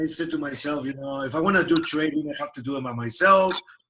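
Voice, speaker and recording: With a Peruvian accent, a man talks at a moderate pace in a bright, sharp tone. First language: Spanish. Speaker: software company founder and CEO. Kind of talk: interview.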